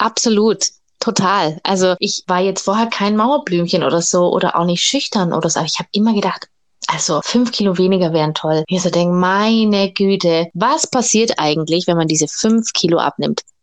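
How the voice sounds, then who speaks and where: An unremarkable speaking voice moves at a moderate pace, with ordinary pitch variation and very even loudness. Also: woman, medium pitch for a woman. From Germany, Augsburg (Bavarian Swabia). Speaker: burlesque dancer and boutique owner. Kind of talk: casual interview chat.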